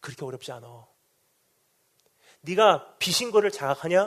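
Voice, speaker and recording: A man's voice with very wide pitch swings. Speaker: missionary preacher. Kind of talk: sermon. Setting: revival meeting in hall with congregation. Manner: fast.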